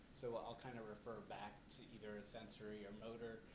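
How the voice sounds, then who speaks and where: A soft-spoken man at a fairly low pitch, monotone and flat, with audible room echo. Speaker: presenter at a support group. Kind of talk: lecture. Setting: in a room with a live audience. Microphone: recording may be too quiet.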